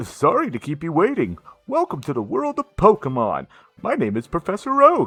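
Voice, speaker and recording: A man puts on a character voice with a high pitch. The sound is dry and close with no echo, and faint music plays in the background. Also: moderate pace. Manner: put-on, playful.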